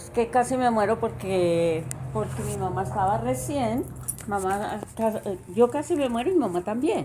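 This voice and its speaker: With noticeable background noise behind her, a woman of medium pitch speaks at a fairly slow pace, her pitch swinging very widely and her loudness varying greatly. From Bogotá, Colombia. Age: 60s. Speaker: interviewee. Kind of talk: interview.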